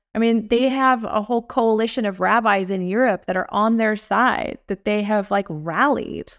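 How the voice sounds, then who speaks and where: In a plain, everyday voice, a woman with an American accent speaks at a moderate pace and fairly high pitch with ordinary pitch variation, on a very clean recording with a silent background. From Los Angeles, US. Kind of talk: interview.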